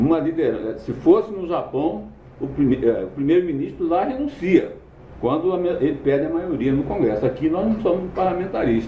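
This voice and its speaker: Over noticeable background noise and audible room echo, a man talks at a moderate pace in a high pitch, with very wide pitch swings. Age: 60s. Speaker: political commentator. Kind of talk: political commentary monologue. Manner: halting, self-correcting.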